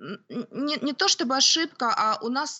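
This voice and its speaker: A woman's high voice at a very slow pace, with lively intonation. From Ukraine, Kyiv. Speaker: homeschooling mother, lawyer. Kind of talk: interview. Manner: hesitant, with fillers.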